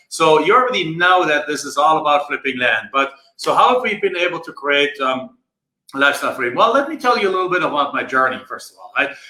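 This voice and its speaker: A man with a German accent speaks at a very fast pace. His voice is fairly high, with a bright, sharp tone. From Germany. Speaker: land investing coach. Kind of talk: live stream talk. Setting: Facebook live video. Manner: halting, many filler words.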